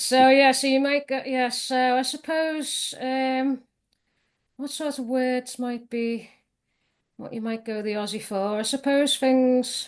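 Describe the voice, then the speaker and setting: A woman with a Liverpool accent and a high pitch talks at a very slow pace, with fairly even intonation and a quiet background. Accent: Scouse. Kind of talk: interview answer.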